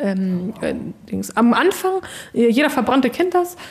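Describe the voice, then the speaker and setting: Her voice sits at a fairly high pitch. The woman talks at a moderate pace. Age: 30s. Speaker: acid attack survivor and beautician. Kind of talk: interview. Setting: in person. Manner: frequent hesitations (ähm, äh).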